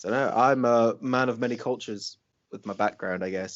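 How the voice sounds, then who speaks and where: With an American accent, a man talks at a medium pitch and a moderate pace, using ordinary pitch variation. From Wales. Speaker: podcast co-host. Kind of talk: casual chat.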